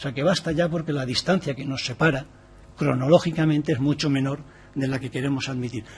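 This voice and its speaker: Speaking at a fairly quick pace, a man with a fairly high pitch sounds somewhat breathy, his intonation fairly even. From Valencia, Spain. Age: 60s. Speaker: activist speaker on gender equality. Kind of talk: formal presentation to a parliamentary committee. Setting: parliamentary committee room.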